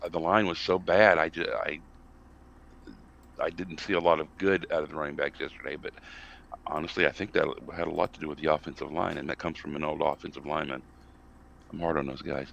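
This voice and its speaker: Vocal fry marks this very fast delivery in an American accent, broken by long, frequent pauses. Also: man, very deep, low pitch for a man. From US South. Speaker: college football podcast panelist. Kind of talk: casual sports discussion. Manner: animated, ranting; halting with many fillers.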